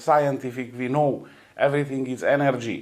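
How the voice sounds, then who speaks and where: In a Romanian accent, a man speaks fairly slowly at a fairly high pitch. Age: 40s. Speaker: energy healer. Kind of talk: interview. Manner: halting, many hesitations.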